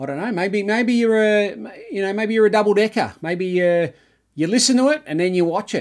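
In an Australian accent, a man speaks at a high pitch with ordinary pitch variation and a moderate pace, on a very clean recording with a silent background. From Melbourne, Australia. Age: 40s. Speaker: cricket podcast host. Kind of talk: casual podcast chat.

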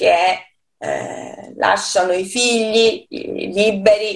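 A woman talks with fairly even intonation. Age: 40s. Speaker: poet. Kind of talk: interview. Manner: halting.

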